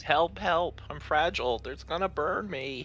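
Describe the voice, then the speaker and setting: A man puts on a character voice at a fairly high pitch, speaking at a moderate pace over clear background noise. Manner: weak and pathetic, pleading.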